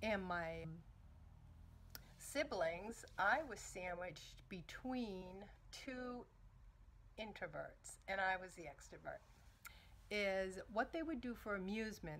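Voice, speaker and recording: Speaking with an American accent at a very slow pace, a woman with a medium pitch leaves long, frequent pauses. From Northeastern US. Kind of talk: casual talk to camera. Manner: humorous.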